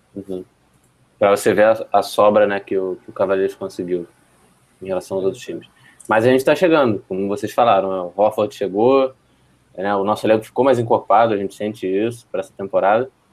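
A man talks very fast in a fairly low voice with ordinary pitch variation, yet leaves long, frequent pauses. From Rio de Janeiro, Brazil. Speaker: basketball podcast co-host. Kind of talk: casual sports chat. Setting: remote call.

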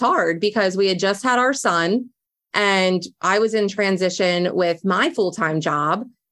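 Speaking with an American accent, a woman has a medium pitch and ordinary pitch variation. Her pace is fairly slow. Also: very even loudness. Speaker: small business owner. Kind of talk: casual interview.

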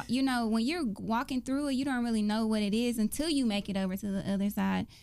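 With hardly any pauses, a woman speaks at a fairly quick pace in an ordinary speaking voice, fairly high in pitch with ordinary pitch variation. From US South, Dallas, Texas. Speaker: faith podcast co-host. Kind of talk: casual faith chat.

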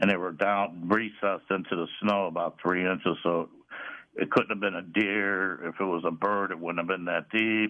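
This man speaks with an American accent and a very deep, low pitch. His intonation stays fairly even. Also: moderate pace. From St. Louis, Missouri. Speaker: caller. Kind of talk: casual chat. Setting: phone call.

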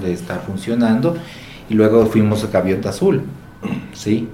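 Over noticeable background noise and audible room echo, a man talks in a fairly low pitch. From Quito, Ecuador. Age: 40s. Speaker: motel owner. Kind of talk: interview. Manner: halting, repetitive fillers.

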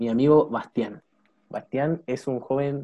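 In a dark, mellow tone, a man talks at a fairly slow pace with fairly even intonation. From Chile, La Serena. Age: 20s. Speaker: podcast host, student. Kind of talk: casual chat.

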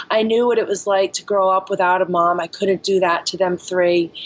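In an ordinary speaking voice, a woman talks at a medium pitch with fairly even intonation. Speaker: yoga instructor and bar owner in recovery. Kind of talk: recovery testimony interview.

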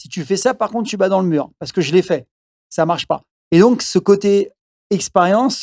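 Long pauses come often, though the talking between them keeps a moderate speed. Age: 60s. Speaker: fitness coach and martial artist. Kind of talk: casual interview.

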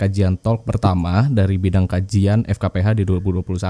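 Dry and close with no echo, this man's voice has a dark, mellow tone. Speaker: law student podcast host. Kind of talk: casual chat.

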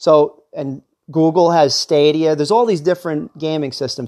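A man speaks in a normal speaking voice at a moderate pace, his fairly high pitch held in fairly even intonation. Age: 40s. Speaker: podcast host. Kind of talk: casual solo monologue.

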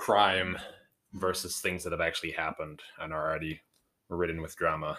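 This man's very deep, low voice has a bright, sharp tone. His intonation stays monotone and flat at a moderate pace. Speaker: host's husband, guest. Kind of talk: casual chat. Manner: joking.

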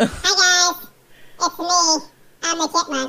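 The voice is a put-on character with an extremely high pitch. It moves at a fairly slow pace.

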